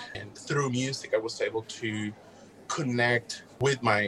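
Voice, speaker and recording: Against noticeable background noise, a man with a Puerto Rican accent speaks at a fairly slow pace. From Puerto Rico. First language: Spanish. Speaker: music educator and graduate researcher. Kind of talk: interview.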